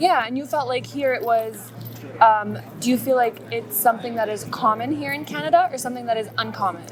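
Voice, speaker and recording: Over music in the background, the speaker moves at a fairly quick pace with lively intonation. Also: woman, fairly high pitch for a woman. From Saudi Arabia. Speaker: street interviewer. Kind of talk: casual interview. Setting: outdoors on the street.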